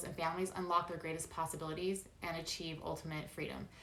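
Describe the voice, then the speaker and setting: A woman's speech carries audible room echo amid noticeable background noise. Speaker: essential oils business presenter. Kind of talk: video call business presentation. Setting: video call. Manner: fast.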